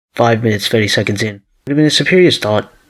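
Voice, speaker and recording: A man talks at a very fast pace in a medium pitch. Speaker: video essayist. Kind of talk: video essay commentary narration.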